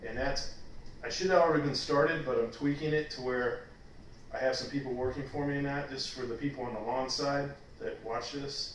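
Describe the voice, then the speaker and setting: Fairly quick speech with an American accent comes with fairly even intonation, audible room echo and light background noise. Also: man. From Texas. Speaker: vlogger. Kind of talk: casual chat. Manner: halting. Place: home room. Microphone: camera far.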